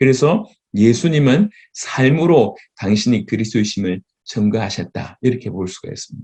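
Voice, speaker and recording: Lively in intonation, a man with a dark, mellow tone talks at a moderate pace. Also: medium pitch for a man, big swings in loudness. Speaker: pastor. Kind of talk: sermon lecture. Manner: halting.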